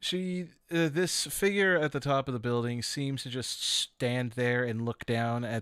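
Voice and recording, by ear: Reading aloud in a natural voice is what this speaker does.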